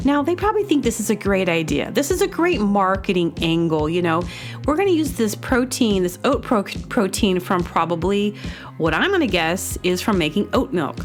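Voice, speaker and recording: With music in the background, the speaker moves at a moderate pace through very wide pitch swings. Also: woman, medium pitch for a woman, very even loudness. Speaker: comedy podcast host. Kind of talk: casual monologue to listeners.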